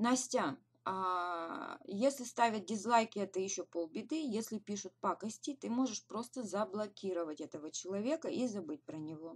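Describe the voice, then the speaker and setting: A woman with a medium pitch speaks at a moderate pace with lively intonation. Her loudness swings widely. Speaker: direct sales team leader; webinar host. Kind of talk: webinar. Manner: hesitant fillers. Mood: encouraging, motivational. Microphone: webcam.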